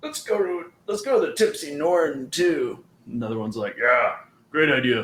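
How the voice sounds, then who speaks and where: A man in a put-on character voice, high-pitched, at a moderate pace. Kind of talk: live-streamed tabletop roleplay, casual. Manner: drunken, boisterous.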